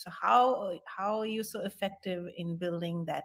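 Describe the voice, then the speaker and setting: A woman speaks at a fairly low pitch, her voice somewhat breathy. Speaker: interviewer / webinar host.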